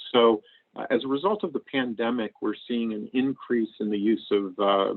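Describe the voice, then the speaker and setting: With an American accent, a man speaks at a moderate pace and medium pitch in an unremarkable speaking voice. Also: ordinary pitch variation. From US Northeast (Maine). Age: 60s. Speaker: AI researcher and tech executive. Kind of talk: lecture. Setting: video call.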